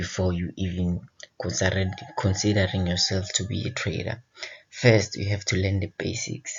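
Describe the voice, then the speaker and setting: In an Eswatini accent, a man talks at a fairly slow pace, his fairly low pitch carrying fairly even intonation. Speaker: forex trading educator. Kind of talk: tutorial. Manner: casual.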